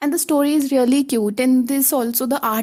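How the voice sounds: Ordinary pitch variation marks a woman's high, dark, mellow voice at a moderate pace.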